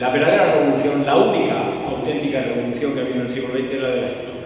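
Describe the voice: A man's slightly mellow voice in strong room echo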